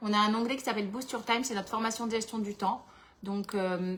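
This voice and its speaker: Her pitch fairly high, a woman talks at a fairly quick pace with monotone, flat intonation. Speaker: entrepreneur running a planner business and workshop host. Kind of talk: live webinar workshop with Q&A. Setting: livestream with chat.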